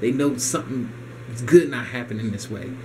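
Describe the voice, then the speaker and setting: The speech moves at a fairly quick pace. Light background noise sits underneath. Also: man. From United States. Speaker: video blogger ranting about economy. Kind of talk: angry rant. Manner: indignant, fast-paced, repetitive, emphatic. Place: home room. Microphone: camera far.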